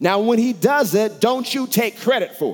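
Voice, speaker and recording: Animated in tone, a man speaks at a moderate pace. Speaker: pastor. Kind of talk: sermon, preaching with scripture readings and asides to the congregation. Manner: animated, rhetorical questions, call-and-response, laughs; repeats phrases for emphasis.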